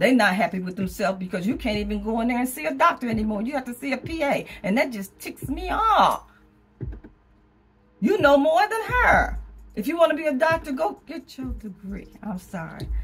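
Speaking at a fairly quick pace, a woman uses a high pitch with very wide pitch swings. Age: 70s. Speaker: vlogger. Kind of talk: casual talk to camera. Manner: conversational, rambling. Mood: opinionated, frank, humorous. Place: home room. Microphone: phone near.

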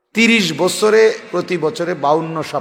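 With audible room echo, a man speaks in a high pitch with ordinary pitch variation. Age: 40s. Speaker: Islamic preacher. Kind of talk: sermon. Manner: emphatic, repetitive exhortation.

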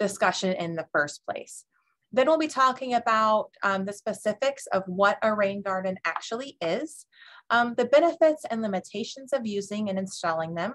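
A woman's pitch swings very widely as she talks. She keeps a moderate pace against a quiet background. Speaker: webinar presenter. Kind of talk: lecture. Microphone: webcam.

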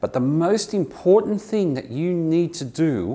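Fairly slow in pace, a man speaks in an Australian accent. His pitch swings very widely. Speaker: English teacher. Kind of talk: tutorial. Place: office. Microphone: lapel.

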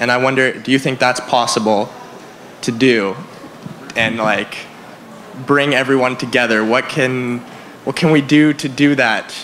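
A man with a Canadian accent speaks over music in the background. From western Canada. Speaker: audience member. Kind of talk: audience question. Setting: microphone in a hall. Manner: casual, enthusiastic.

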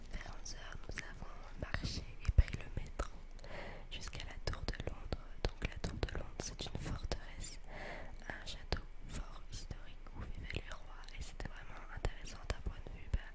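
Whispering from a woman at a fairly slow pace, with long, frequent pauses, big swings in loudness and noticeable background noise. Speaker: ASMR content creator. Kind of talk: ASMR whispered vlog to camera about a trip. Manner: whispered, soft-spoken.

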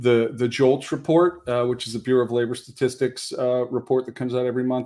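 The setting is quiet. A man speaks at a fairly quick pace. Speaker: speaker. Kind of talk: panel presentation. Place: home room. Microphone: webcam.

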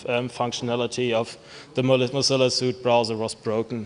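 Here a man speaks at a moderate pace. His intonation stays monotone and flat. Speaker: conference presenter. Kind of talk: lecture. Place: hall. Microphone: podium.

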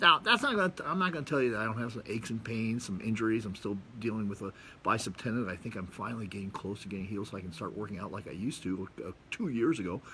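A man at medium pitch, very fast, with lively intonation, a bright, sharp tone and light background noise. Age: 60s. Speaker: video blogger. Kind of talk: monologue to camera, casual talk. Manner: casual, rambling, with fillers. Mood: relaxed, reflective. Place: garden. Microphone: phone near.

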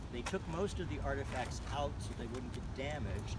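A man talks at a moderate pace through loud background noise, the sound dry with no echo. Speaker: tour guide. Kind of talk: guided tour explanation. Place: garden. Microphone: phone near.

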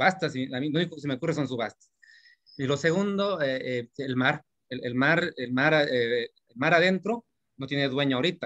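A medium-pitched man at a moderate pace against a quiet background. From Mexico. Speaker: workshop participant. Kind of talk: audience question. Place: home room. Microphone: video call.

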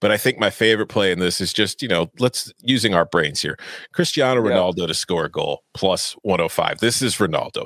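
At a fairly quick pace and with lively intonation, the speech comes through dry with no echo against a quiet background. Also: man, fairly low pitch for a man. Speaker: soccer betting analyst. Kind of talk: casual sports betting chat. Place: home room. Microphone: studio mic.

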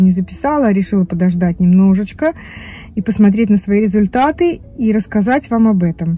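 Moderate pace in a dry sound with no echo. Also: woman. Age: 50s. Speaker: vlogger. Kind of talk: casual chat. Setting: in a car. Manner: animated. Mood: chatty, candid. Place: car. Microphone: phone near.

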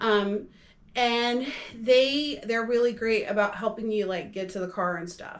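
Her intonation fairly even, a woman talks at a fairly slow pace with a fairly high pitch.

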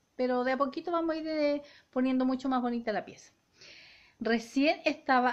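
At a fairly quick pace, a woman speaks with a Chilean accent. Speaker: family vlogger. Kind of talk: casual vlog talk to camera. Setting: at home. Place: home room. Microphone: phone near.

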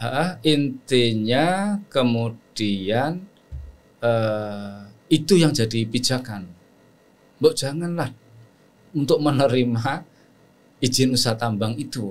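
A man speaks at a very slow pace, leaving long, frequent pauses. His pitch is medium and his intonation lively. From Central Java, Batang Pekalongan; Central Java, Indonesia. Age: 60s. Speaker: Islamic scholar and lecturer; lecturer. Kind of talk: interview conversation. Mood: calm, reflective. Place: studio. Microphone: studio mic.

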